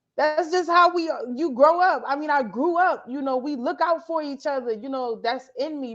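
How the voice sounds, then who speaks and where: With an American accent, a woman talks at a moderate pace. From South Carolina Lowcountry, Georgetown County. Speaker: photojournalist. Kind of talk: interview.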